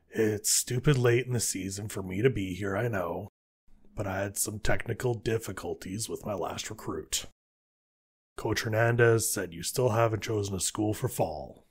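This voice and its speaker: Using a raspy put-on character voice with a fairly low pitch, a man speaks at a moderate pace with fairly even intonation on a very clean recording with a silent background. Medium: audio drama. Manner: blunt, dry.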